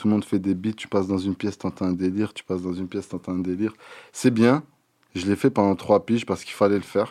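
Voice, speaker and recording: A man talks at a very fast pace with a fairly low pitch and a dark, mellow tone. The background is quiet. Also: fairly even intonation. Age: 30s. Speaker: rapper. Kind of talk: interview.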